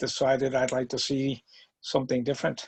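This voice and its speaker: This man speaks with an American accent. His pitch is medium. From New York State, Hudson Valley. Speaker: retired navy veteran and teacher. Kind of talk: interview. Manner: halting, many fillers.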